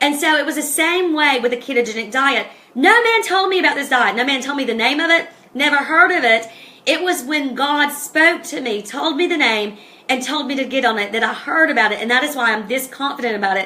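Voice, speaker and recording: A woman's raised, projected voice at a high pitch, animated in tone with lively intonation, amid noticeable background noise. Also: fairly quick pace. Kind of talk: informal talk to camera. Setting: Facebook live on an iPad.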